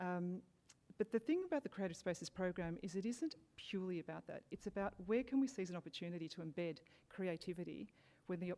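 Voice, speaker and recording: Speaking very fast in an Australian accent, a woman has a medium pitch, ordinary pitch variation and a dark, mellow tone. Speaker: local council arts program manager. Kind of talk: panel presentation. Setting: public forum with audience.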